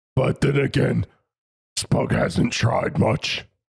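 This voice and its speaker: In a raspy, put-on character voice of medium pitch, a man speaks very slowly, recorded dry and close with no echo. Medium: actual play. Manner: blunt, simple, third-person speech.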